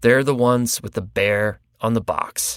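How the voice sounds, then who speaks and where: A man has an ordinary speaking voice at medium pitch and a moderate pace. The sound is dry and close with no echo. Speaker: podcast host. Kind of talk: podcast ad read.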